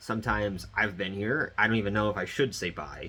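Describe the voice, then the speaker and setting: This man's fairly low voice carries a bright, sharp tone. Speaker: vlogger. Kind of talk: casual monologue to camera.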